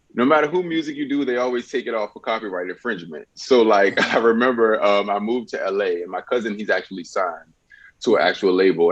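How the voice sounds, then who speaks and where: A man with an American accent, fairly low-pitched, at a very fast pace. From Richmond, Virginia. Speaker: musician and dancer. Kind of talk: casual interview.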